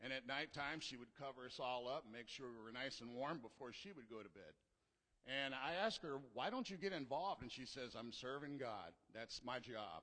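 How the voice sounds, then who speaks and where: A bright, sharp tone at a fairly quick pace, with ordinary pitch variation. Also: man, medium pitch for a man. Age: 60s. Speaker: church member. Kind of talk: testimony. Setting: church.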